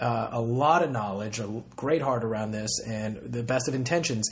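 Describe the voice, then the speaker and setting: The man's voice has a somewhat breathy quality. He keeps a moderate pace. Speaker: podcast host. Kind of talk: casual interview chat.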